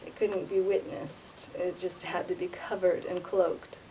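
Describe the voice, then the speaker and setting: Against light background noise, a woman with an American accent talks at a moderate pace. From United States. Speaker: vlogger. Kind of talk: casual monologue. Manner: halting. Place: hall. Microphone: webcam.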